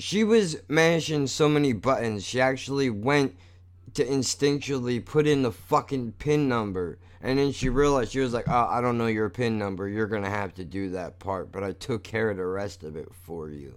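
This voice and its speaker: A plain, everyday voice from a man, medium in pitch, with lively intonation at a moderate pace. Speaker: podcast host. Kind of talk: angry rant, profane, venting about money, doctors and warehouse store fees; casual solo monologue, self-deprecating rant. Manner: casual and unscripted, rambling with sighs and throat clears.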